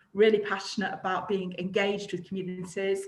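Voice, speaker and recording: A woman with a Manchester accent, her voice carrying audible room echo. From Greater Manchester, England. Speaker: charity director. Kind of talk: panel discussion. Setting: video call.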